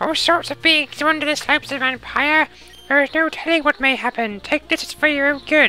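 The speaker puts on a character voice, pitched high and delivered at a moderate pace.

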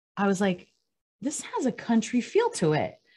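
Over a quiet background, a woman keeps to a moderate pace. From Cuba, raised in the US. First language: Spanish. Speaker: country singer. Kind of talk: casual interview. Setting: radio studio.

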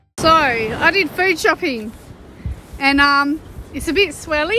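A woman's raised, projected voice at a fairly slow pace, dry with no echo, over light background noise. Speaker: sailing vlogger. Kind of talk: casual vlog chat.

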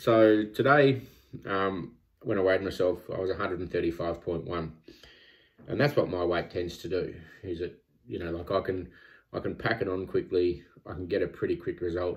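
Over a quiet background, a man with a very deep, low, somewhat breathy voice speaks at a moderate pace with ordinary pitch variation and long, frequent pauses. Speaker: vlogger tracking weight loss. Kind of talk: casual vlog chat. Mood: reflective, self-critical. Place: home room. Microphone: phone near.

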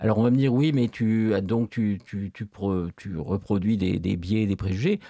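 A man's dark, mellow voice at a fairly slow pace, with lively intonation, a dry sound with no echo and a quiet background. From France. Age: old. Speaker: philosophy professor. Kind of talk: interview. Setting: studio. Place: studio. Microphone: studio mic.

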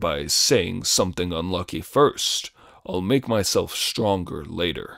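A man puts on a character voice, pitched very deep and low, and talks at a fairly slow pace. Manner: whining, complaining.

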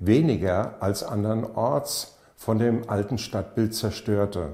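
A man's dark, mellow voice, somewhat breathy, with audible room echo and a quiet background. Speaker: project introducer. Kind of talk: documentary narration. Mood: calm, earnest. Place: home room.

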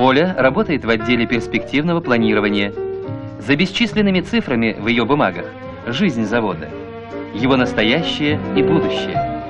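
Clear music plays behind a man who speaks at a moderate pace with long, frequent pauses. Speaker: newsreel narrator. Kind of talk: documentary narration.

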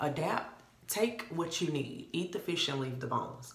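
There is audible room echo as a woman speaks at a moderate pace in an animated tone. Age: 30s. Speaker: beauty vlogger. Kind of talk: casual tutorial to camera. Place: bathroom. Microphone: phone near.

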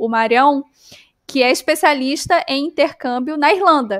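A high-pitched woman at a moderate pace, with ordinary pitch variation, a quiet background and dry sound without echo. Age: 30s. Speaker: travel podcast host; podcast host. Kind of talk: casual interview chat. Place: home room.

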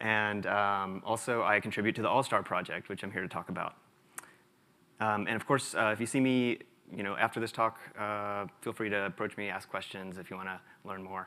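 With fairly even intonation and a fairly quick speed, the speaker uses a plain, everyday voice. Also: man, fairly low pitch for a man. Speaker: conference presenter. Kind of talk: conference talk. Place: hall.

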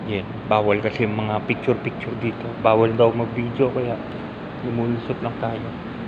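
A man speaks quietly at a medium pitch and moderate pace in monotone, flat intonation, with noticeable background noise and audible room echo. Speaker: vlogger. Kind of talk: casual vlog narration. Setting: indoors at a museum. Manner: quiet, lowered voice.

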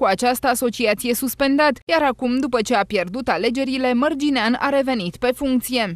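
Pitch varies in an ordinary way while the pace stays moderate. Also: woman. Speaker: news presenter. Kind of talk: news reading.

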